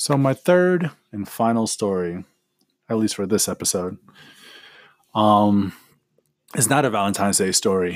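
A man with a fairly low pitch and lively intonation speaks with long, frequent pauses. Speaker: podcast host. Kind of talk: casual storytelling monologue. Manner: fast.

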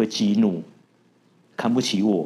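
Speaking at a moderate pace, a man has a fairly low pitch and a dark, mellow tone. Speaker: tech company founder. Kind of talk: interview.

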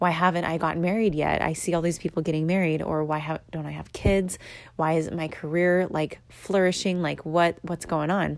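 Monotone, flat intonation at a moderate pace. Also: woman, fairly low pitch for a woman. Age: 20s. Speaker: podcast host. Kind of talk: casual solo monologue. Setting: recording at home in apartment. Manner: filler-heavy, conversational.

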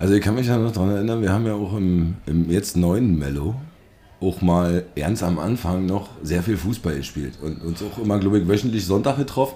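Speaking at a fairly quick pace with ordinary pitch variation, this is a normal speaking voice. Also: man, fairly low pitch for a man. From Brandenburg. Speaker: podcast host. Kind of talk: casual chat.

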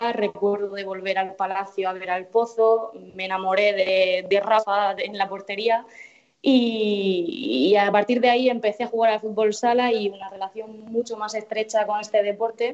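A woman with a normal speaking voice, a fairly high pitch, fairly even intonation and a moderate pace. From Murcia, Spain. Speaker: futsal pundit, TV journalist. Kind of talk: casual chat. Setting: call.

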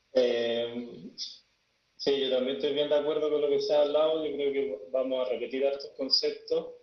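With a plain, everyday voice, the speaker holds a moderate pace and shows ordinary pitch variation. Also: man, fairly high pitch for a man. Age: 40s. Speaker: death and grief guide. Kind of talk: panel discussion.

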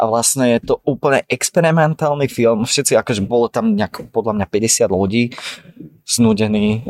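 A plain, everyday voice from a man, medium in pitch, at a moderate pace with very even loudness, dry and close with no echo. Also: ordinary pitch variation. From Slovakia (Dolný Kubín). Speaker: painter and art student. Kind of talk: casual chat. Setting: café in Prague.

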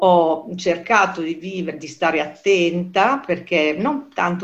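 A woman with a fairly low pitch talks fairly slowly. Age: 60s. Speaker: self-employed professional interviewee. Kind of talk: interview. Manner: hesitant, with many fillers.

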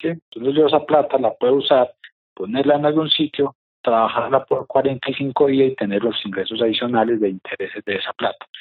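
A man with a fairly high pitch and an unremarkable speaking voice, at a moderate pace. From Colombia. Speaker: real estate investor and course teacher. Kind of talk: interview. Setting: office, remote.

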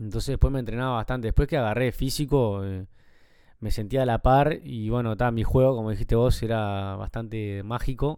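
The voice has a Uruguayan accent and a dark, mellow tone with fairly even intonation. The recording is very clean, with a silent background. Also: man, medium pitch for a man, fairly quick pace. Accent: Uruguayan Rioplatense Spanish. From Uruguay, Montevideo (Carrasco). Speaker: former professional footballer, youth football coach. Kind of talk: casual interview chat. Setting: at home.

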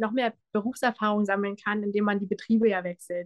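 A woman with a fairly high pitch at a fairly quick pace. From Brandenburg, Germany. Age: 20s. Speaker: pastry chef and café owner. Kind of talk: interview. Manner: animated.

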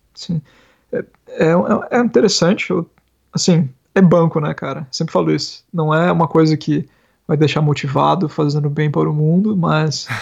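Pausing long and often, a man speaks at a moderate pace with a fairly high pitch and ordinary pitch variation. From Brazil, interior of Paraná (Ibiporã). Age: 30s. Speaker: software developer. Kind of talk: casual chat.

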